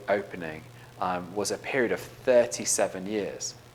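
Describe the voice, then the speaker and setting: A man with an English accent at a moderate pace, over noticeable background noise. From England. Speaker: education leader, keynote speaker. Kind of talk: conference keynote.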